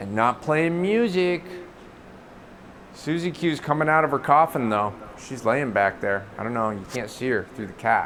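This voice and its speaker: Loud and at a medium pitch, a man speaks at a moderate pace with very wide pitch swings and long, frequent pauses. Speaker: streamer. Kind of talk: casual chat. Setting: home studio.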